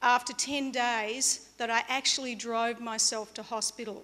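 A woman with an Australian accent speaks at a fairly slow pace in a bright, sharp tone, her fairly high pitch held in fairly even intonation. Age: 50s. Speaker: motivational speaker. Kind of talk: motivational talk. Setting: stage with audience. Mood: earnest, reflective storytelling. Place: stage. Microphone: podium.

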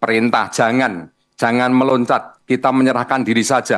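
At a moderate pace, a man talks in an unremarkable speaking voice at medium pitch. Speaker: regional police chief. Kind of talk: press-style explanation in TV debate.

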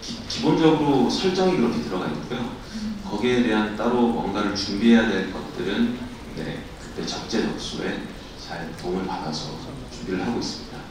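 This man's pitch is medium and swings very widely. Noticeable background noise runs under his voice. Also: moderate pace. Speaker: actor. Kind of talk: press conference Q&A.

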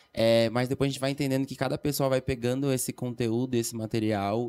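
A man speaks at a moderate pace. His dark, mellow tone carries fairly even intonation. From Florianópolis, Brazil; Brazil. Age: 30s. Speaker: dancer and dance teacher; dance teacher. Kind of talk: casual chat. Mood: calm, reflective. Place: studio. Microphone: studio mic.

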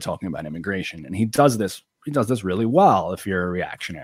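On a very clean recording with a silent background, a man with an American accent speaks at a very fast pace. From Long Island, New York. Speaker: YouTuber and political commentator. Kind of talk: casual interview chat.

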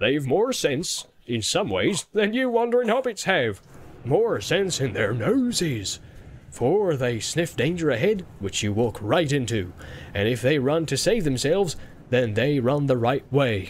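A put-on character voice from a man, sing-song, with a fairly high pitch, very wide pitch swings and a moderate pace. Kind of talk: audiobook character voice. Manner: jolly, sing-song, laughing.

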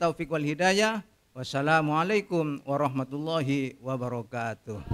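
Bright and sharp in tone, a man's fairly high voice moves at a moderate pace with ordinary pitch variation. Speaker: retiring judge. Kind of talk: farewell speech. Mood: warm, apologetic farewell. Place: hall. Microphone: podium.

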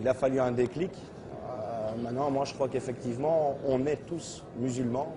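A man's fairly slow delivery with hardly any pauses and fairly even intonation, over noticeable background noise. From Belgium. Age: 30s. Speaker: convert to Islam giving testimony. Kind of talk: testimony. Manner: halting, hesitant with repeated words. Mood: calm, sincere. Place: hall. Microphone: lapel.

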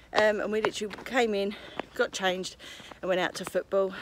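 A woman at a fairly quick pace, in dry sound with no echo, amid noticeable background noise. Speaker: family vlogger. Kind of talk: casual vlog chat.

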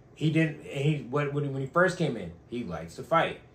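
There is vocal fry in this man's voice. He talks at a moderate pace, with audible room echo. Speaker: podcast co-host. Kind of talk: casual chat. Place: home room. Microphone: camera far.

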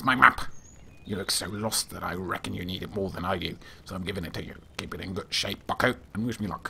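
A man puts on a character voice at a fairly low pitch. He talks at a very fast pace over clear background noise. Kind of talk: let's play voice acting.

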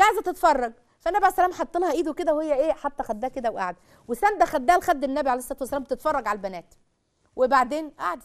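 Animated in tone, a woman with an Egyptian accent speaks at a very fast pace in a high pitch with very wide pitch swings. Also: quiet background. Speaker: religious family-life speaker; TV presenter. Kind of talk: religious talk to a live audience; religious-social talk to camera. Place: studio.

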